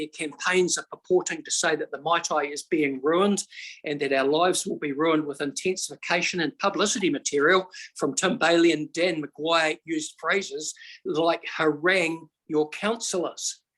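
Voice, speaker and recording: A man with a New Zealand accent talks in a high pitch. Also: moderate pace. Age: 60s. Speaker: member of the public making a submission. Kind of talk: public hearing submission. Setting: video call.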